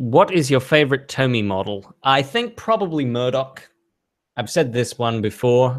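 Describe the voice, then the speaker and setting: A man with an Australian accent at a moderate pace, with ordinary pitch variation, on a very clean recording with a silent background. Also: medium pitch for a man. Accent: mild Australian, taken for British by viewers. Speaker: YouTube creator of toy train parody videos. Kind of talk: live stream Q&A. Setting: live stream. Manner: hesitant, many fillers.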